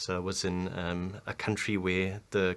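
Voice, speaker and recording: A man's fairly low voice with a German accent. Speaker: business strategy consultant. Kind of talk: interview. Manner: hesitant, many fillers.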